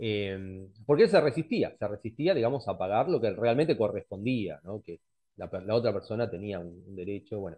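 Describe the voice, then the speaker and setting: A plain, everyday voice from a man, fairly low in pitch, at a moderate pace with big swings in loudness. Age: 40s. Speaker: astrologer; presenter. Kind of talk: lecture. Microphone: headset.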